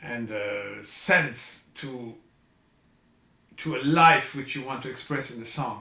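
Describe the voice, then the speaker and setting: The speaker talks at a very slow pace, with long, frequent pauses and big swings in loudness. Pitch variation is ordinary, and room echo is audible. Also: man, medium pitch for a man. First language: not English. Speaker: composer. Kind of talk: video message. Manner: halting.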